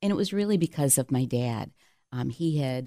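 With a very deep, low pitch and a dark, mellow tone, a woman speaks at a moderate pace in a dry, close sound with no echo. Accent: American. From upstate New York (Cheshire). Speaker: marketing agency CEO, former TV personality. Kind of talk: interview.

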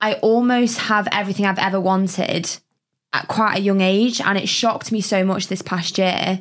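Delivered in a monotone, flat intonation, the words come out at a fairly slow rate. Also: woman. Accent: English. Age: 20s. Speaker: podcast co-host. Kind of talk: casual chat. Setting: studio.

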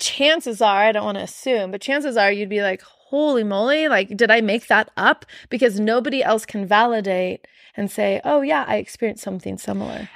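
On a very clean recording with a silent background, a woman with an unremarkable speaking voice and fairly high pitch talks at a fairly quick pace with ordinary pitch variation. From Arizona, US Southwest. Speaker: energy healer. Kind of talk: casual chat.

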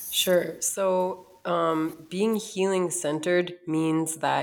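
Amid noticeable background noise, a woman speaks with an American accent and fairly even intonation. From US Midwest, North Dakota. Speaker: author and wellness educator. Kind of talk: interview.

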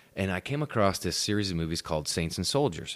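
A man talks at a very fast pace. His pitch is fairly low, with lively intonation. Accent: American. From upstate New York. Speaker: actor. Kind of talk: casual chat.

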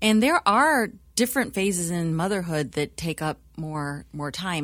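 In a normal speaking voice, a woman speaks with lively intonation. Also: very clean recording, silent background. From US. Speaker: church staff member and co-founder. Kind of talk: panel interview, casual chat.

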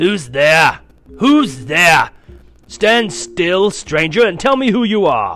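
Growling in a put-on character voice, a man speaks very slowly at a high pitch, his voice raised and projected. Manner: menacing, demanding.

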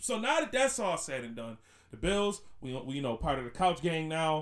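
A man with an American accent talks at a moderate pace, his pitch swinging very widely. The recording is very clean, with a silent background. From Buffalo, New York. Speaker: podcast host. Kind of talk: casual banter, podcast chat. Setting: studio with new mic. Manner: casual, slangy, rambling.

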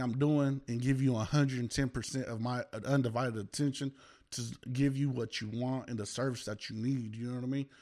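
A man with an American accent talks at a fairly quick pace, medium in pitch and dark, mellow in tone. His intonation is fairly even against a quiet background. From Oklahoma. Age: 30s. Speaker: business owner. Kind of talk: casual chat.

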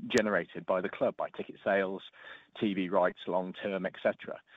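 The speaker is a man. He talks with an East Anglian accent. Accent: English (East Anglia). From Norfolk, England. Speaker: football pundit. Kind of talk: casual chat.

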